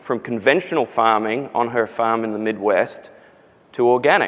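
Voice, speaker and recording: With an Australian accent, a man is talking. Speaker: company CEO. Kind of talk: live interview. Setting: conference stage with audience.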